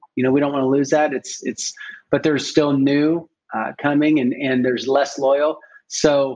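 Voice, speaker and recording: In a Midwestern accent, a man talks at a moderate pace. His pitch is fairly high and his intonation monotone and flat. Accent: General American (Midwest). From US Midwest (Springfield, Ohio). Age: 50s. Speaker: funeral home owner. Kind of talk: casual interview.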